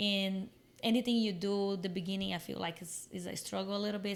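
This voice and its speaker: A woman with a Brazilian Portuguese accent speaks at medium pitch and a fairly quick pace. Room echo is audible. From Brazil, Minas Gerais. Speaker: fitness coach and content creator. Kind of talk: podcast interview.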